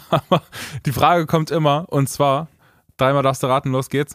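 Dry and close with no echo, a man's fairly high-pitched voice moves at a fairly quick pace in monotone, flat intonation. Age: 20s. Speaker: singer and podcast co-host. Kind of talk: casual chat.

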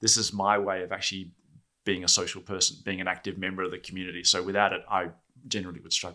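Delivered at a very fast pace, the voice has a bright, sharp tone and monotone, flat intonation in a very clean recording with a silent background. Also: man, very deep, low pitch for a man. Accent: Australian. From Australia (Perth). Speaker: database advocate. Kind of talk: podcast interview. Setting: studio.

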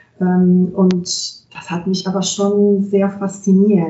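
The woman speaks with an Italian accent. Her pitch is medium. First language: Italian (speaking German). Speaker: translator and interpreter. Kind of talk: interview.

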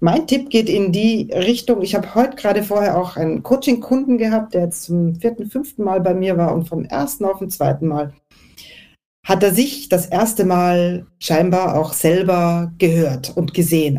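With a dark, mellow tone, a woman speaks at a moderate pace using lively intonation. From Austria. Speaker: networking and presentation coach. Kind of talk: panel discussion. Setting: online audio event.

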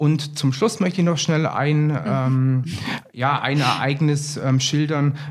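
A man with a fairly high pitch speaks at a very slow pace, with very even loudness and fairly even intonation, amid noticeable background noise and audible room echo. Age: 40s. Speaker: sales executive. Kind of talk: interview.

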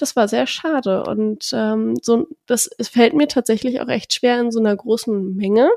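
Her voice is fairly high-pitched yet dark and mellow in tone, and this woman speaks at a fairly slow pace with hardly any pauses in a dry, close sound with no echo. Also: ordinary pitch variation. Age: 20s. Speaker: podcast co-host. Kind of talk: casual chat.

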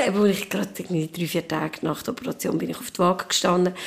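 Over noticeable background noise, a woman with a Swiss accent talks at a fairly quick pace with medium pitch and ordinary pitch variation. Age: 40s. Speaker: mother sharing postpartum experience. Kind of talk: casual chat.

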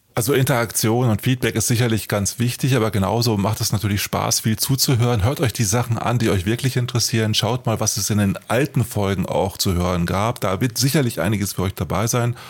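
Over noticeable background noise, a man of medium pitch talks at a fairly quick pace with ordinary pitch variation and very even loudness. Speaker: podcast co-host, author. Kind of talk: casual chat. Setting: studio.

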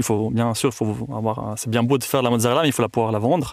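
The audio is very clean, the background silent. A man's voice sits at medium pitch. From Tuscany, Italy. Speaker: cheesemaker. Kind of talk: interview. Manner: halting.

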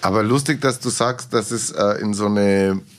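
An ordinary speaking voice from a man, fairly low-pitched, at a moderate pace with ordinary pitch variation, on a very clean recording with a silent background. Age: 50s. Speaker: podcast host and entertainer. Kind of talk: interview. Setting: studio.

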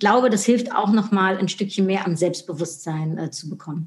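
A woman with a medium pitch speaks in a somewhat breathy voice. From Netherlands. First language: Dutch (speaking German). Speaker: marketing expert and speaker. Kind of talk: interview.

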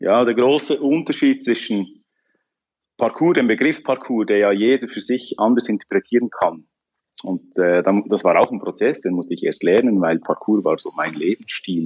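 At a moderate pace, an unremarkable speaking voice moves with lively intonation. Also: man, medium pitch for a man. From Switzerland, canton of Bern. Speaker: parkour coach and entrepreneur. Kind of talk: interview.

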